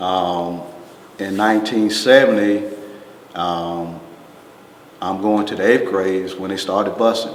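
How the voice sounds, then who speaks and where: With noticeable background noise and audible room echo, a man speaks at a fairly slow pace in a fairly low pitch, his intonation fairly even and his pauses long and frequent. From US South, Greensboro, North Carolina. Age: 60s. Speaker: retired fire chief. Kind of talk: oral history interview. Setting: museum.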